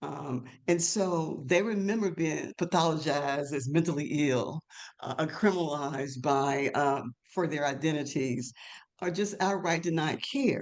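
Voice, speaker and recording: Someone with a Mississippi accent speaks at a fairly slow pace. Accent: Southern US (Mississippi). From US South, North Mississippi. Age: 70s. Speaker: LGBTQ elder advocate. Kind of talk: webinar panel discussion.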